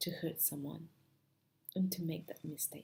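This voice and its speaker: A woman with a strong non-native accent speaks at a fairly slow pace. Her dark, mellow tone carries vocal fry. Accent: heavy foreign. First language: not English. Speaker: spiritual self-help speaker. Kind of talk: motivational talk to camera.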